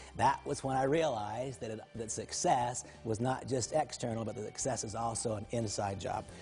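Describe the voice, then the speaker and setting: Somewhat breathy, a man of medium pitch talks with hardly any pauses. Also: ordinary pitch variation. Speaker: motivational speaker. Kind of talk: motivational talk. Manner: fast.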